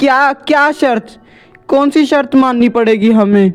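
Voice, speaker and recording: Over faint music in the background, a woman uses a put-on character voice at a very slow pace. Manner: scared.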